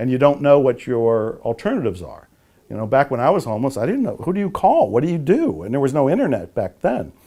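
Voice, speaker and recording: With a General American accent, a man at fairly high pitch races along very fast, his voice showing vocal fry and very wide pitch swings. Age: 60s. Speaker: author and motivational speaker. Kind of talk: interview.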